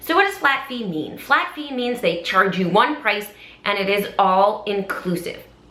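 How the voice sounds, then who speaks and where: Over noticeable background noise, a woman with a fairly high pitch and lively intonation speaks at a moderate pace. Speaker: charity auctioneer. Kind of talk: casual talk to camera, advice video.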